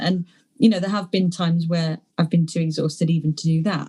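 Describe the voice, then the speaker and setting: A woman speaks at a fairly quick pace in a fairly low pitch, her tone dark and mellow and somewhat breathy. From London, England. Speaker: poet. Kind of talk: interview answer. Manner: hesitant, rambling.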